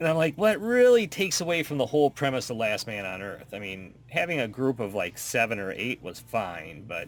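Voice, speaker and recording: A man's fairly quick speech with very wide pitch swings. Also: medium pitch for a man. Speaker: podcast co-host. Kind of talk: casual chat.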